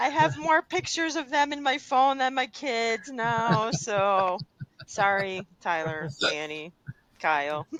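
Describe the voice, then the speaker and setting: This woman has a Midwestern accent and a fairly high pitch. She talks very slowly, with very wide pitch swings. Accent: Midwestern twang. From US Midwest, Chicago area. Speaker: trade education association executive. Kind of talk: podcast interview.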